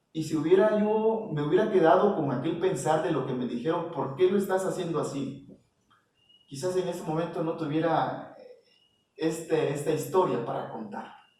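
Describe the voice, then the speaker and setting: A high-pitched man at a moderate pace, ordinary pitch variation, audible room echo. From Mexico, Oaxaca (Isthmus). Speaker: visual artist. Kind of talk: interview. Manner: hesitant, many fillers.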